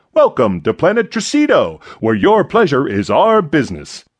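A man performs a put-on character voice. He pitches it high. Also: moderate pace. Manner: friendly.

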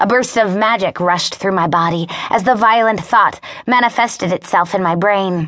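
Natural reading voice, pitch moving in an ordinary way

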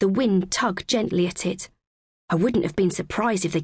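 Plain reading aloud with ordinary pitch variation and a quiet background.

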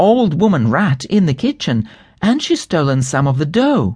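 A man at a moderate pace, his pitch swinging very widely, against a quiet background. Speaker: audiobook narrator. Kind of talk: dramatic storybook narration for children, reading aloud with character voices.

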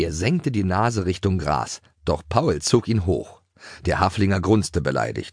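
Ordinary pitch variation in plain reading aloud

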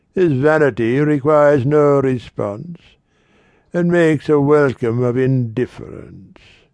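A man at a medium pitch, very slow pace, and dramatic tone. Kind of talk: poetry reading, audiobook narration. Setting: studio. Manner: dramatic, varied pace with bird-call sounds.

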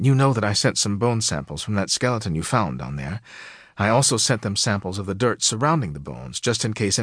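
Reading aloud in a natural voice is what this clip holds.

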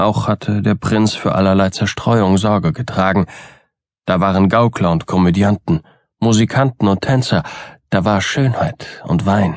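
In a theatrical tone, a man at fairly low pitch keeps very even loudness and ordinary pitch variation, with a dry, close sound with no echo. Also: fairly slow pace. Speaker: audiobook narrator. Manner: formal, literary and theatrical, building dread.

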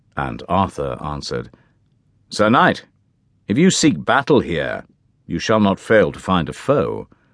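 A man with a very deep, low pitch and vocal fry speaks at a fairly slow pace with long, frequent pauses. His pitch swings very widely and his loudness varies a lot. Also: quiet background. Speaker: audiobook narrator. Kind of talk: scripted narration, audiobook reading of a medieval tale. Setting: studio. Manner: dramatic, formal, measured storytelling voice; shifts into character voices for the knight and king.

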